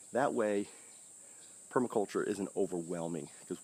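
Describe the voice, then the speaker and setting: A man speaks softly. His pace is fairly quick. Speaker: permaculture gardener and channel host. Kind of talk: casual outdoor video talk. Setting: outdoors in garden. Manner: soft-spoken, talking low.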